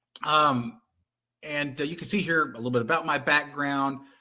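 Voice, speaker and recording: This man's tone is bright and sharp, with ordinary pitch variation. He speaks with a Texan accent. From Texas. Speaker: content conversion company representative. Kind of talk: webinar presentation.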